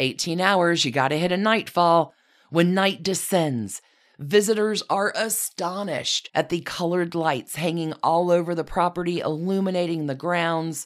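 Animated, dramatic delivery from a woman at a fairly low pitch, moderate pace, and ordinary pitch variation, on a very clean recording with a silent background. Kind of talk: theatrical scripted-style storytelling, vivid scene-setting narration. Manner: animated, dramatic, relishing flourishes; warm, inviting, evocative tone.

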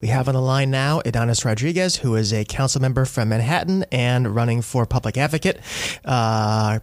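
An ordinary speaking voice from a man, medium in pitch, at a moderate pace, with ordinary pitch variation and very even loudness. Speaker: radio host. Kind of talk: radio interview.

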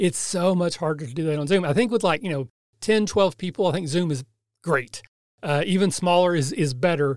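A man in a Kentucky accent, high in pitch with ordinary variation, at a fairly quick pace. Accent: Kentucky, US South. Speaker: podcast host, AmeriCorps member. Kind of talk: interview.

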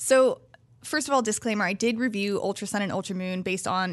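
Over a quiet background, the speaker uses a plain, everyday voice with ordinary pitch variation. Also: woman. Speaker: game journalist. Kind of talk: casual chat.

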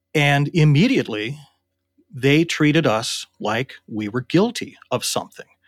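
Recorded very cleanly with a silent background and a dry, close sound with no echo, a man with an ordinary speaking voice and a fairly high pitch uses lively intonation. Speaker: interviewee, former war gamer. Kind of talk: recollection interview.

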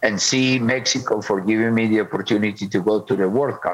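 Over noticeable background noise, a man with a Spanish accent and a fairly low pitch speaks at a moderate pace with fairly even intonation. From Colombia. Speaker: football coach. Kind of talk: interview. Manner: halting.

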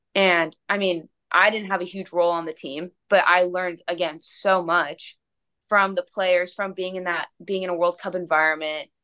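In an American accent, a woman talks at a fairly low pitch with monotone, flat intonation. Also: moderate pace. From United States. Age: 20s. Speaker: professional soccer player. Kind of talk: casual chat.

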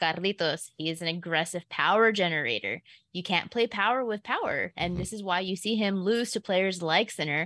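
This woman has an unremarkable speaking voice at a medium pitch, with ordinary pitch variation. She talks at a fairly quick pace, and the sound is dry and close with no echo. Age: 30s. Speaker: sports betting analyst. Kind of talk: casual sports chat.

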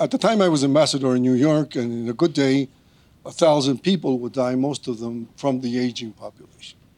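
In a Spanish accent, a man with a medium pitch speaks at a moderate pace with ordinary pitch variation in a very clean recording with a silent background. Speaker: diplomat, former foreign minister. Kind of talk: prepared speech.

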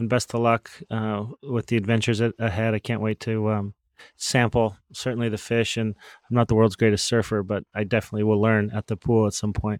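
A man's fairly low, fairly quick, unremarkable speaking voice, dry and close with no echo. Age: 40s. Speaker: podcast host, sports team CEO. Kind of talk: interview hosting. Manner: upbeat.

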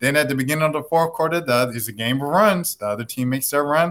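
A man's fairly high pitch, ordinary pitch variation and an ordinary speaking voice. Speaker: sports journalist. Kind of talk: casual sports talk.

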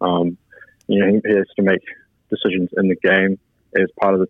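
With a New Zealand accent, a man talks at a moderate pace in a fairly low voice. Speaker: ice hockey player. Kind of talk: radio interview. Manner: hesitant, many fillers.

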